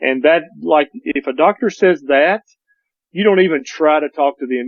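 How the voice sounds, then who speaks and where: This man has an unremarkable speaking voice with a fairly high pitch. He keeps a moderate pace. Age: 50s. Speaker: doctor. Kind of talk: casual chat.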